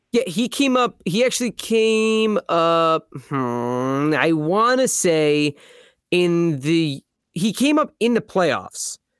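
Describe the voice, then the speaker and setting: A man's high voice, very wide swings in pitch, very even loudness and a very slow pace, in a very clean recording with a silent background and a dry, close sound with no echo. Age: 20s. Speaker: hockey fan guest. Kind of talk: casual chat.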